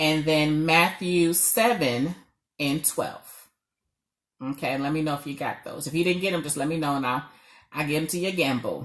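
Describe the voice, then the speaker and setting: With a New York accent, a woman with a very deep, low voice and ordinary pitch variation speaks at a moderate pace over a quiet background, pausing long and often. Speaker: marriage coach. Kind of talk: live stream talk.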